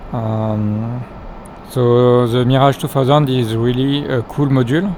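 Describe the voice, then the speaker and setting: Against noticeable background noise, a man with a non-native accent speaks fairly slowly at a medium pitch, his intonation fairly even. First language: not English. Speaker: flight simulator gameplay youtuber. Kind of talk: tutorial. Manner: halting, many fillers.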